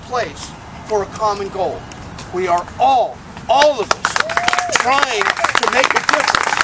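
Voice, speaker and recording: A man with an American accent speaks at a high pitch with ordinary pitch variation. Noticeable background noise can be heard. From Florida. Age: 60s. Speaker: environmental activist. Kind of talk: rally speech. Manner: impassioned, with repeated words.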